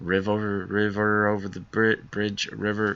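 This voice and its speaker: A man's bellowing, put-on character voice, fairly low in pitch, with monotone, flat intonation and a fairly slow pace. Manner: bellowing war cry.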